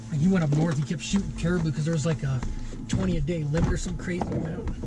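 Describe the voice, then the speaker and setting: The speech moves at a very fast pace. Loud background noise runs behind it. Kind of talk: casual chat. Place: open country. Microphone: camera far.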